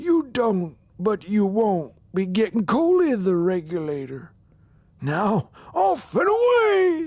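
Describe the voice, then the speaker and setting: A man puts on a high-pitched character voice. He goes at a fairly slow pace, with very wide pitch swings. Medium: read story. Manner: warm, hearty.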